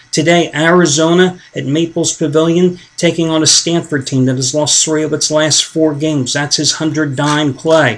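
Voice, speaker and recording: Hardly any pauses over noticeable background noise. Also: moderate pace. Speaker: sports betting handicapping promoter. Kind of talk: sales pitch. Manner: mumbling.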